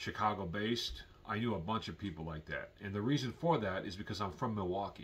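A man speaks with a fairly low pitch and a somewhat breathy quality. His pitch varies in an ordinary way. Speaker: vlogger. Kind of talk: casual vlog commentary. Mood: calm, opinionated.

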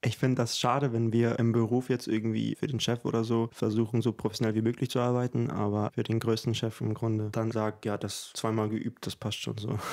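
A man talks at a fairly quick pace with monotone, flat intonation. The background is quiet. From Ukraine. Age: 20s. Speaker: composer and singer; guest. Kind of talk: interview conversation. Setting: at his home. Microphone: studio mic.

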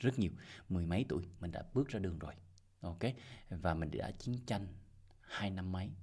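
Speaking at a fairly quick pace, a man with a very deep, low pitch sounds somewhat breathy, his pitch varying in an ordinary way against a quiet background. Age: 40s. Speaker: crypto investment YouTuber. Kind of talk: casual monologue advice video. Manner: repetitive, halting with fillers. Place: home room. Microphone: studio mic.

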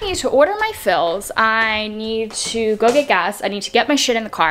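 A woman talks at a fairly quick pace with lively intonation. Light background noise sits behind her. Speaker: vlogger. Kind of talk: casual vlog chat. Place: home room. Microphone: phone near.

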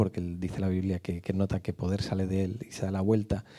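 Against a quiet background, a man talks at a fairly quick pace in a fairly low voice with a dark, mellow tone. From Madrid, Spain; Spain. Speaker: speaker at a church on abuse recovery. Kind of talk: church talk; talk to a church audience. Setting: church. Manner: halting. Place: church. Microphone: handheld.

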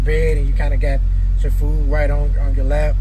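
A man speaks at an extremely high pitch in a dry recording with no echo, with noticeable background noise. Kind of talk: casual vlog chat. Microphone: phone near.

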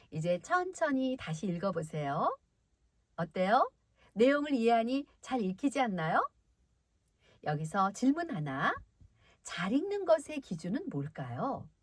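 A woman's fairly high voice with very wide pitch swings, a very slow pace, and long, frequent pauses. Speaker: voice actor. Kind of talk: friendly explanation to children. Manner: clear, friendly, teacher-like.

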